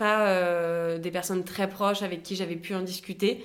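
At a fairly slow pace, an unremarkable speaking voice talks with fairly even intonation. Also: woman. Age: 20s. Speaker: business school student, cosmetic surgery patient. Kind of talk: testimony.

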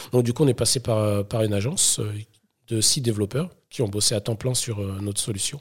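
Speaking at a fairly quick pace, a man has a fairly low pitch. His voice is somewhat breathy. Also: ordinary pitch variation, very clean recording, silent background. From Paris suburbs (Sarcelles), France. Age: 30s. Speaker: startup founder. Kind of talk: casual interview.

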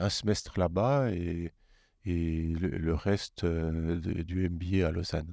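A man's dark, mellow tone comes through a dry, close sound with no echo on a very clean recording with a silent background. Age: 50s. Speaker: car dealership executive. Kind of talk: interview conversation.

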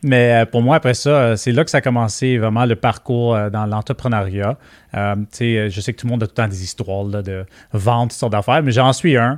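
Speaking with a Quebec accent, a man shows ordinary pitch variation. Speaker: entrepreneur. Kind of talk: interview.

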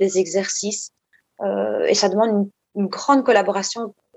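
This woman has an ordinary speaking voice, fairly high in pitch, and talks at a fairly slow pace with fairly even intonation. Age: 40s. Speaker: psychologist. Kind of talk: interview.

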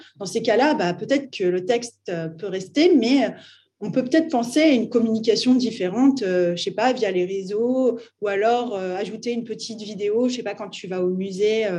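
A woman speaks at a moderate pace with a fairly high, somewhat breathy voice. Her pitch variation is ordinary. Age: 30s. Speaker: artist and art startup founder. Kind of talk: interview. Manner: casual, hesitant with fillers.

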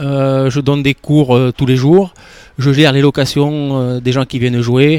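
Fairly high-pitched and monotone with flat intonation, a man speaks at a fairly slow pace in a dry, close sound with no echo. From Dordogne, southwest France. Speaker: padel coach. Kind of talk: radio interview. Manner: halting, with repetitions.

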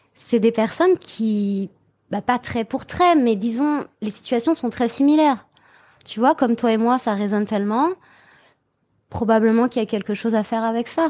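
Against a silent background in a very clean recording, a woman speaks at a moderate pace with a dark, mellow tone, a fairly high pitch, ordinary pitch variation, and long, frequent pauses. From Brittany, France. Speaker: transformation coach, hypnotherapist. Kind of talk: casual interview chat.

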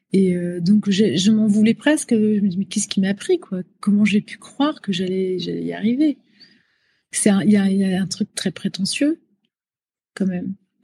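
A woman speaks at a fairly slow pace in a dark, mellow, somewhat breathy tone with ordinary pitch variation. The sound is dry and close with no echo. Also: medium pitch for a woman. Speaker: pop singer. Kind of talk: interview. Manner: halting, many hesitations.

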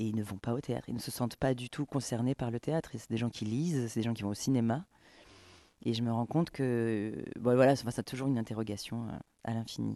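In a dry, close sound with no echo, a man speaks at a fairly quick pace with a dark, mellow tone and fairly even intonation. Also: medium pitch for a man. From Camargue, southern France. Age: 30s. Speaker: playwright, stage director and actress. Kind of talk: interview. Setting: stage. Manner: halting.

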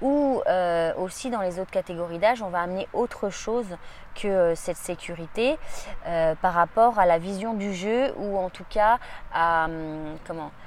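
Speaking at a medium pitch, a woman moves at a fairly slow pace with long, frequent pauses and ordinary pitch variation. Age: 40s. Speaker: judo practitioner and coach. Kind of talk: interview. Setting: summer training camp. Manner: halting.

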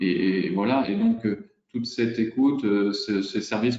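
A man talks in a fairly low voice with fairly even intonation. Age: 40s. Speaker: real estate agent. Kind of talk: interview. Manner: hesitant, many fillers.

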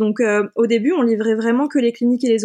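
A woman uses a normal speaking voice in a very clean recording with a silent background. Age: 30s. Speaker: film and photo advertising producer. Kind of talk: interview.

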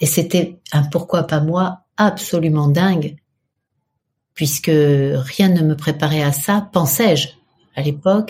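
A woman speaks very slowly at a very deep, low pitch, her voice somewhat breathy. Her loudness stays very even, and she leaves long, frequent pauses. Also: ordinary pitch variation. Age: 60s. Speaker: PR agency head and meditation teacher. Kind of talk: interview.

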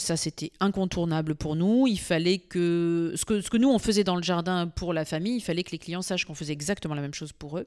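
A woman with a fairly low pitch speaks in an animated tone with ordinary pitch variation, in a very clean recording with a silent background. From northern France (Arras). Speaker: farmer. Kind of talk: interview. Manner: animated, with frequent repetitions.

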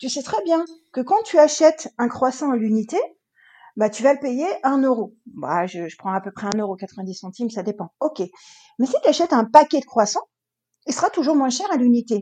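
The voice has a dark, mellow tone and very wide pitch swings at a moderate pace, with long, frequent pauses. Loudness swings widely, and the sound is dry and close with no echo. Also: woman, high pitch for a woman. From France, Loire department. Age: 40s. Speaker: real estate investor and coach. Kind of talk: interview.

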